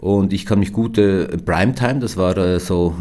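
In a room with audible echo, a man talks with ordinary pitch variation. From Switzerland, Biel/Seeland (German-French language border). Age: 50s. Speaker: company founder. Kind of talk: interview. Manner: hesitant, many fillers.

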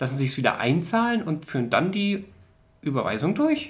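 Somewhat breathy and moving in very wide pitch swings, a man speaks at a moderate pace. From central Germany. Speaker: podcast co-host. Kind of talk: casual chat.

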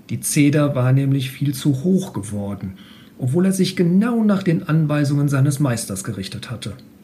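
Over noticeable background noise and audible room echo, a man with a fairly high pitch makes very wide pitch swings at a moderate pace. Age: 40s. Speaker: mechanical engineer. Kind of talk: reading aloud; casual interview. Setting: room with open window. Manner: halting.

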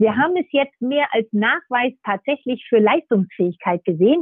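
The woman talks at a moderate pace. Her voice rises and falls very widely in pitch. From northern Germany, Nordhorn (Lower Saxony). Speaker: sports federation executive. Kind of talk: interview. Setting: remote line.

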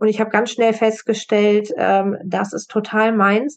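A woman with an ordinary speaking voice at a medium pitch and moderate pace. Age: 40s. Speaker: assistance dog trainer. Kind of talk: interview.

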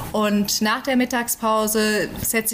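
A woman speaks at a fairly high pitch. Background noise is noticeable. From Germany, central Hesse. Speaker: Bible translation worker. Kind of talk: interview. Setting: remote call from home.

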